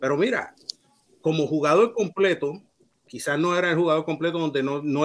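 With a Puerto Rican accent, a man talks at a fairly quick pace in a fairly high pitch. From Puerto Rico, Mayagüez. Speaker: baseball writer and Hall of Fame voter. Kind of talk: panel discussion.

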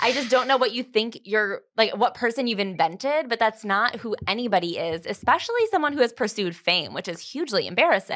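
Fairly high in pitch, a woman with an ordinary speaking voice talks at a fairly quick pace with hardly any pauses and lively intonation, in a very clean recording with a silent background. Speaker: podcast host. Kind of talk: casual chat.

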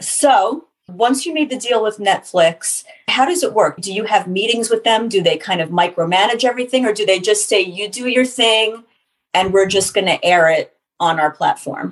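A woman's unremarkable speaking voice, fairly high in pitch, with lively intonation at a moderate pace. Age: 40s. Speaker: podcast host and interviewer. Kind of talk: casual interview chat.

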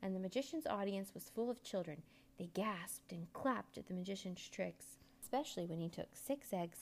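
The voice is doing plain reading aloud.

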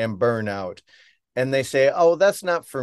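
Against a quiet background, a man talks at a moderate pace and medium pitch in a normal speaking voice with lively intonation. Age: 50s. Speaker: photographer and storyteller. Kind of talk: casual interview.

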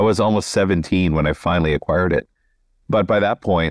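Recorded dry and close with no echo against a quiet background, a man with an American accent speaks in a very deep, low pitch. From southeastern Minnesota. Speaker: novelist. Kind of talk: casual interview.

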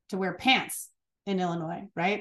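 A woman with an American accent and an unremarkable speaking voice, medium pitch, fairly even intonation and a moderate pace. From Chicago, US Midwest. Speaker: business owner. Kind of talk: interview. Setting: remote call.

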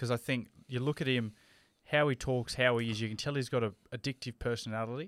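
Speaking with an Australian accent at a medium pitch, a man talks at a fairly quick pace with ordinary pitch variation on a very clean recording with a silent background. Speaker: podcast co-host and radio personality. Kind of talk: casual chat.

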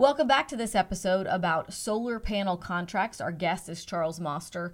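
A woman with a plain, everyday voice speaks at a medium pitch and a moderate pace. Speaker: radio host. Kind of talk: interview.

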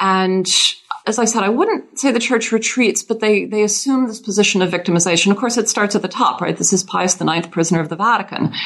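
A plain, everyday voice from a woman with an American accent, medium pitch, ordinary pitch variation and a fairly quick pace. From US South, Louisiana. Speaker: historian, professor. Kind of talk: interview about her book.

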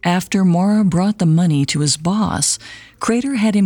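A somewhat breathy voice with a dramatic, dark and mellow tone moves through ordinary pitch variation. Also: woman. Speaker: podcast host. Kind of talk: true-crime narration. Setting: studio. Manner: measured, dramatic storytelling.

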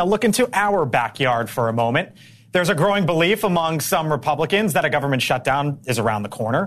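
A man speaks at a very fast pace in an energetic tone at a fairly high pitch. His pitch swings very widely while his loudness stays very even. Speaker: news anchor. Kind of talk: live TV news anchoring. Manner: fast, energetic, conversational.

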